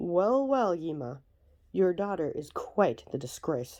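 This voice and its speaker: Against a quiet background, a put-on character voice at a middle pitch moves along at a fairly slow pace. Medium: read story.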